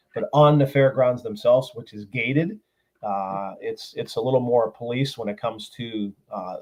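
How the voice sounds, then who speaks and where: Speaking in a medium pitch at a moderate pace, the man has an unremarkable speaking voice. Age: 60s. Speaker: motorcycle rally organizer. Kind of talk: casual interview.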